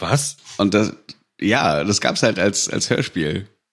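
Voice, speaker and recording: A man's fairly low voice carries lively intonation. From Hamburg, northern Germany. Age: 30s. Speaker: voice actor. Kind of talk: casual chat.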